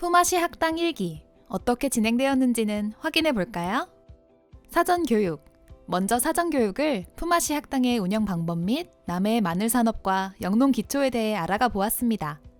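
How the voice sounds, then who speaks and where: A woman's fairly high voice with very wide pitch swings at a moderate pace, music in the background. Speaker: voice actor. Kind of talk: promotional narration.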